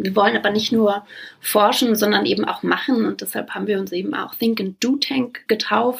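This woman has a fairly high pitch and ordinary pitch variation. Vocal fry runs through her voice. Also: moderate pace. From Brandenburg, Germany. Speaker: founder and director of a think tank. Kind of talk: interview.

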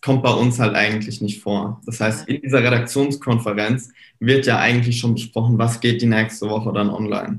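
A man's medium-pitched voice stays monotone, its intonation flat. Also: moderate pace. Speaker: social media marketing entrepreneur. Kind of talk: casual chat. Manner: frequent filler hesitations.

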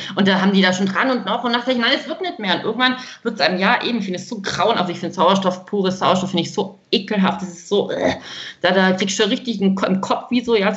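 Through noticeable background noise, a woman with a medium pitch speaks at a very fast pace with ordinary pitch variation. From Baden-Württemberg, Germany. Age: 30s. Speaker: woman with congenital heart defect, grief companion for children. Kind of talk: podcast interview.

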